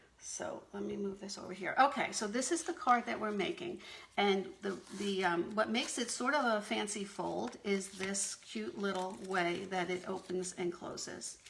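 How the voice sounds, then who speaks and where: Over noticeable background noise, the intonation stays lively. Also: woman, medium pitch for a woman, moderate pace. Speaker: paper craft demonstrator. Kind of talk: craft tutorial on a live video stream. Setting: live video stream. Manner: hesitant, many fillers.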